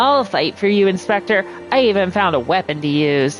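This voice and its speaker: Over clear music in the background, a female-sounding voice puts on a character voice at a medium pitch. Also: moderate pace. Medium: game stream.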